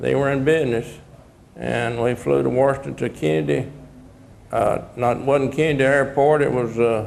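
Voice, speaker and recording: A man with a Texan accent at a medium pitch and moderate pace, ordinary pitch variation, audible room echo and noticeable background noise. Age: 80s+. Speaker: retired deputy sheriff. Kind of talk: testimony. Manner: halting.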